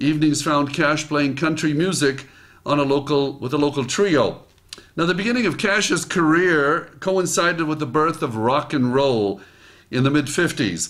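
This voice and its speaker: A man with an ordinary speaking voice talks at a moderate pace, his fairly high pitch showing ordinary variation and his loudness very even. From immigrant to the US. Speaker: motivational speaker. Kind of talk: reading own article aloud with comments.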